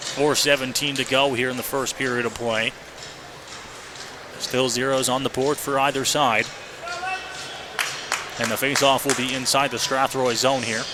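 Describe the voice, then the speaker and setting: Noticeable background noise runs under a man who speaks with long, frequent pauses. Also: medium pitch for a man. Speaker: radio hockey play-by-play announcer. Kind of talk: live sports radio play-by-play commentary. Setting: live arena broadcast, audio only stream. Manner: fast, energetic, rapid-fire game calling.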